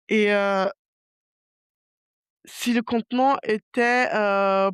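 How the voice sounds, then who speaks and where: A woman speaks with a fairly high pitch and fairly even intonation. The sound is dry and close with no echo, and the recording is very clean against a silent background. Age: 30s. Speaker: podcast host. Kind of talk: casual solo podcast monologue. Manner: calm, not very dynamic; hesitant, many fillers.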